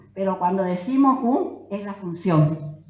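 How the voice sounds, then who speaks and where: Her pitch swinging very widely around a medium level, a woman speaks amid audible room echo and noticeable background noise. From Corrientes, Argentina. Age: 80s+. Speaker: Guarani language teacher and author. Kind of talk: conference talk.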